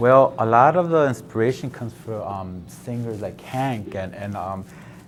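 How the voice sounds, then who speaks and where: Music in the background behind a man with an American accent, medium-pitched, at a moderate pace, with ordinary pitch variation and big swings in loudness. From South Central Los Angeles. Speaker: painter. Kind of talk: interview. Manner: halting, many fillers.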